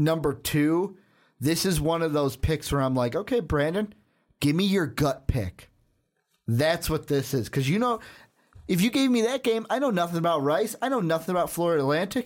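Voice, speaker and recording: With an animated tone, a man speaks at a high pitch with very wide pitch swings. His pace is moderate, on a very clean recording with a silent background. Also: very even loudness. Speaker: sports podcast host. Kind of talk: casual sports debate. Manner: animated, talkative.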